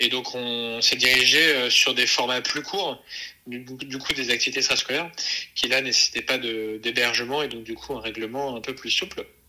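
There is noticeable background noise behind this man. He speaks at a moderate pace and medium pitch with fairly even intonation. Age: 20s. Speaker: entrepreneur, co-founder of an outdoor activities company for children. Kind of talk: interview. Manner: halting, many fillers and repetitions.

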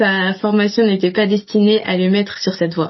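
A woman's medium-pitched voice in a flat, monotone intonation. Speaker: student podcast host. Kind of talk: scripted introduction.

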